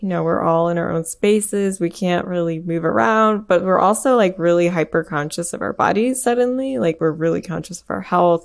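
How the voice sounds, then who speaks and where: With an American accent, a woman talks in a normal speaking voice at medium pitch, using ordinary pitch variation. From US Midwest, Michigan. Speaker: composer. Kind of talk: interview.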